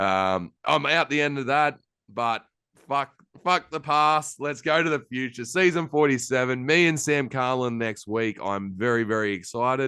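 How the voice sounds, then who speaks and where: A man with an Australian accent speaks at a moderate pace in a bright, sharp tone. His pitch varies in an ordinary way, and the background is quiet. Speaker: podcast host. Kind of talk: casual chat.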